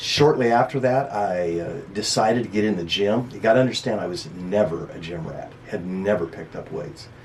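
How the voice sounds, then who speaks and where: In an American accent, a man talks at a moderate pace with a fairly low pitch, ordinary pitch variation, and big swings in loudness over noticeable background noise. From eastern Washington. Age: 60s. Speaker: bodybuilder. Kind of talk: interview. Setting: radio studio. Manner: halting.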